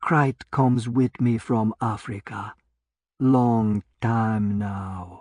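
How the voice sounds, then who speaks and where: Over a quiet background, a put-on character voice speaks very slowly at a low pitch. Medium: read story. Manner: soft, mocking, unhurried.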